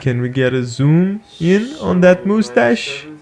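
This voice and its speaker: This man talks at a very slow pace with lively intonation. Background noise is noticeable. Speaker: YouTuber and video game music DJ. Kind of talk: casual chat. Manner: halting.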